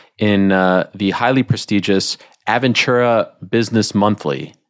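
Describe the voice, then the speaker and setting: A man with a fairly low pitch talks on a very clean recording where the background is silent. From Quebec, Canada. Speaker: podcast host. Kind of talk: interview. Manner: animated.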